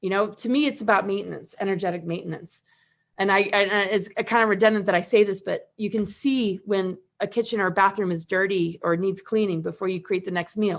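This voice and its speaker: Against a quiet background, a woman talks at a fairly quick pace with fairly even intonation. She has an ordinary speaking voice at medium pitch. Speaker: spiritual teacher and event host. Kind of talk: livestream panel talk. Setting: live video stream.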